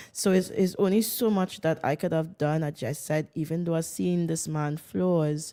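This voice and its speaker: In a Jamaican accent, a woman with a very deep, low voice and a dark, mellow tone speaks at a moderate pace with ordinary pitch variation, in a very clean recording with a silent background and a dry, close sound with no echo. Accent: Jamaican Caribbean English. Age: 40s. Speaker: interviewee sharing her divorce story. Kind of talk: testimony. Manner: loud; animated.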